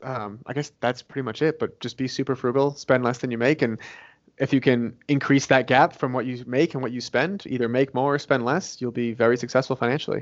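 With a moderate pace and fairly even intonation, a man speaks in an ordinary speaking voice at medium pitch. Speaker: real estate investor and author. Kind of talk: interview.

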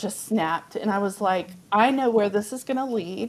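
With a Texan accent, a woman speaks at a medium pitch. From Texas, Amarillo. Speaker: biblical counselor and author. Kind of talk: testimony.

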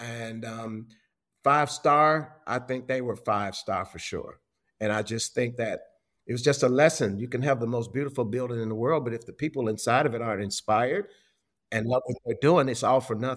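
A man with an American accent speaks at a moderate pace with ordinary pitch variation, in an unremarkable speaking voice. The recording is very clean, with a silent background. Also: medium pitch for a man. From Chicago, US Midwest. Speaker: hospitality historian and author. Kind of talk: casual interview.

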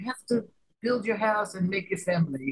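Somewhat breathy, a woman speaks with an American accent. Her pace is fairly quick. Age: 70s. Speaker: playwright and theatre director. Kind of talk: interview.

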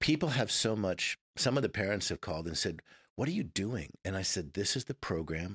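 A man with a very deep, low voice and an American accent, lively intonation at a moderate pace, on a very clean recording with a silent background and a dry, close sound with no echo. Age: 50s. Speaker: former Navy SEAL and instructor. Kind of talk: interview conversation.

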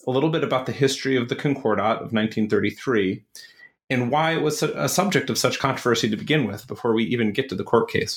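In an American accent, a man with a medium pitch and a normal speaking voice talks at a fairly quick pace. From US, Buffalo, New York. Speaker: podcast host, academic. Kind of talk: interview.

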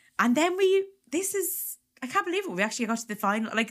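Very wide pitch swings mark this very fast voice with a bright, sharp tone. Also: woman. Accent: Irish. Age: 30s. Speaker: comedian and podcast host. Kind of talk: casual chat.

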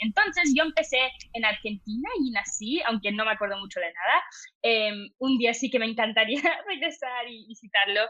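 The tone is bright and sharp. Intonation stays lively throughout. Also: woman, fairly high pitch for a woman, moderate pace. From international upbringing, oil-industry family moving every few years. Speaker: entrepreneur and social media creator. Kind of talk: casual interview chat. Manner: hesitant, many fillers.

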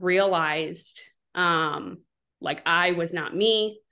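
A woman with an American accent speaks very slowly at medium pitch, her tone bright and sharp. Her intonation is monotone and flat, and the background is quiet. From US Midwest, southwest Wisconsin. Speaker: paramedic. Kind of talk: casual interview. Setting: video call.

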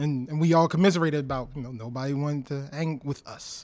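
In an American accent, a man with a fairly high pitch speaks at a very fast pace with fairly even intonation. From Baltimore, Maryland. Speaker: tech investor and engineer. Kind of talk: interview conversation.

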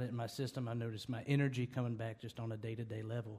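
With a Southern US accent, a man speaks fairly quickly at medium pitch, his dark, mellow tone somewhat breathy and his intonation monotone and flat. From North Carolina (near Winston-Salem). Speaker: country musician. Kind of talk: interview.

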